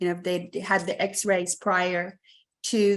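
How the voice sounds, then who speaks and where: On a very clean recording with a silent background, a woman speaks in a fairly low pitch with monotone, flat intonation. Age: 70s. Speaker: testimonial customer. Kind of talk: interview testimony. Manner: halting, filler-heavy.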